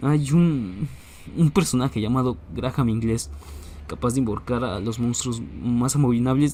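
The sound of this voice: The voice reads in an unforced way.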